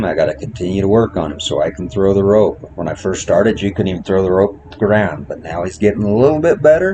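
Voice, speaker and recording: Talking at a very fast pace, a man uses lively intonation and a fairly low pitch. Noticeable background noise runs under his voice. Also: hardly any pauses. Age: old. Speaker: horse trainer. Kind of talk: tutorial.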